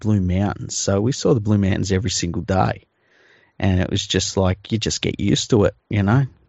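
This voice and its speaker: A man with an Australian accent talks at a fairly quick pace with a fairly low pitch. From Western Sydney, Australia. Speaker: podcast host. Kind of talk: casual comedic chat. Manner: joking, deadpan.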